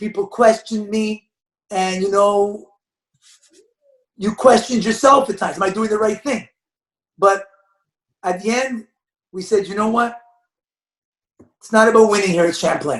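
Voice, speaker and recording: The man's voice is high-pitched and loud, with fairly even intonation. He keeps a moderate pace broken by long, frequent pauses. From Quebec, Montreal. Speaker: basketball coach. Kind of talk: podcast interview.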